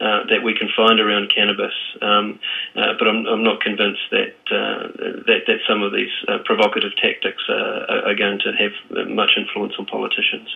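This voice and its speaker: A man with a New Zealand accent at a moderate pace, over noticeable background noise. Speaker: drug policy advocate. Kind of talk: radio interview. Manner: halting, many fillers and repeats.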